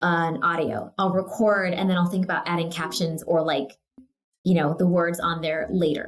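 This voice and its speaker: In a normal speaking voice, a woman with an American accent speaks at a moderate pace, her fairly low pitch carrying fairly even intonation. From California. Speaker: real estate agent. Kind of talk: casual interview. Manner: casual, filler words (um, like).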